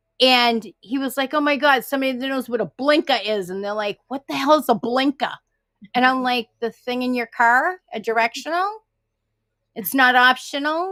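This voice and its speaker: With an American accent, a high-pitched woman talks fairly quickly in a bright, sharp tone, her loudness swinging widely, on a very clean recording with a silent background. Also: dry, close sound with no echo. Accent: Boston accent, can get thick. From Massachusetts, Boston area. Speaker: paranormal live stream participant. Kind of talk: casual chat. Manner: animated.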